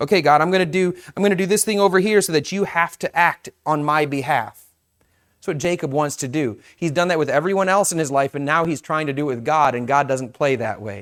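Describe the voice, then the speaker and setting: On a very clean recording with a silent background, a man speaks in a plain, everyday voice at a fairly high pitch. His pace is fairly quick, with ordinary pitch variation. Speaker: pastor. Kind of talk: sermon. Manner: casual, conversational.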